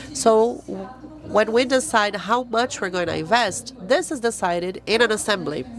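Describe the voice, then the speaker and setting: Noticeable background noise underlies a woman's fairly high-pitched voice. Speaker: foundation representative, panelist. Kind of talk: panel talk.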